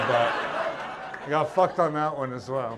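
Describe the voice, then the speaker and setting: A man with an American accent talks over noticeable background noise, his words carrying audible room echo. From US and Pacific, then Scotland from age twelve. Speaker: comedian. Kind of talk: stand-up. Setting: stage with audience.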